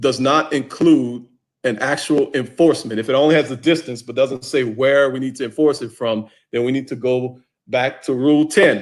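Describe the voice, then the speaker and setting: A plain, everyday voice. It moves at a moderate pace with fairly even intonation. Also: man, medium pitch for a man. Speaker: football officiating instructor. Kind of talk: online training session.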